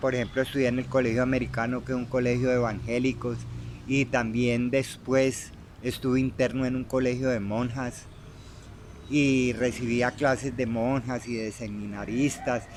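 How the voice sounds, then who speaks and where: Flat and monotone, a man speaks at a medium pitch. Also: moderate pace. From Colombia, Tolima (Armero). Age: 60s. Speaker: interviewee telling his life story. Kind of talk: life-story interview. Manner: halting, many repetitions and fillers.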